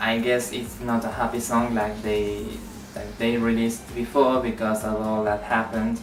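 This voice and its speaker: Fairly slow speech in a Spanish accent, noticeable background noise throughout. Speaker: YouTuber, K-pop fan vlogger. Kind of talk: casual vlog talk. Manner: halting, many fillers.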